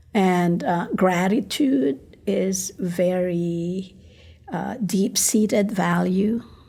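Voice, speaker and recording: A woman with a Filipino accent talks at a very slow pace. Her tone is dark and mellow, at medium pitch with ordinary pitch variation. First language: Tagalog. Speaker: ministry coach. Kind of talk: podcast interview.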